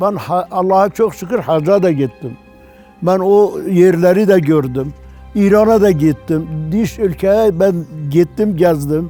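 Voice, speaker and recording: A man's high pitch with ordinary pitch variation at a very slow pace, over music in the background. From Van, eastern Turkey. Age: 80s+. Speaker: villager. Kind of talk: interview answer.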